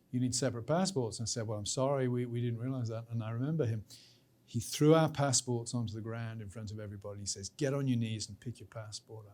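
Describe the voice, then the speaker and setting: A man with a British accent, medium pitch and a dark, mellow tone, at a very fast pace, with ordinary pitch variation and big swings in loudness. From Britain. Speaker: professor. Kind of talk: interview.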